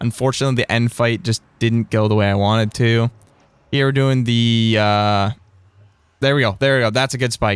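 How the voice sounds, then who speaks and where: A plain, everyday voice, this man speaks at a medium pitch and a moderate pace. His pitch varies in an ordinary way, and the sound is dry and close with no echo. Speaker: Minecraft speedrunner and streamer. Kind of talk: gameplay commentary.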